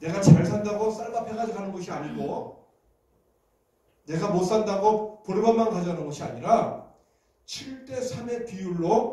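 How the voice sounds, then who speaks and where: A man talks at a moderate speed, with audible room echo around him. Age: 60s. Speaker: pastor. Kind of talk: sermon. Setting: church.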